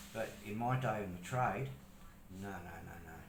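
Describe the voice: A man's fairly low-pitched voice with audible room echo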